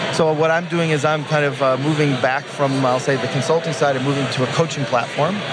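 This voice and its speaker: Amid noticeable background noise and audible room echo, a man with a fairly high voice talks at a fairly quick pace with hardly any pauses, fairly even intonation and very even loudness. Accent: American. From US Midwest, Detroit. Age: 50s. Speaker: engineer and product consultant. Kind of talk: casual interview. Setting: conference floor.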